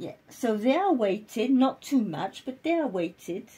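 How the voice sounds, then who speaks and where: Delivered at a very slow pace, the voice has a dark, mellow tone and lively intonation. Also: woman. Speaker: doll collector vlogger. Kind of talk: casual show-and-tell vlog. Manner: quieter than usual; alternates French and English.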